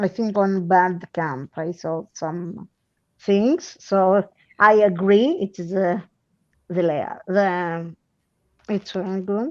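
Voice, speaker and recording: A woman with a medium-pitched voice and ordinary pitch variation speaks very slowly, with long, frequent pauses, in a dry, close recording with no echo. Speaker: livestream host. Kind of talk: casual chat. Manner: halting.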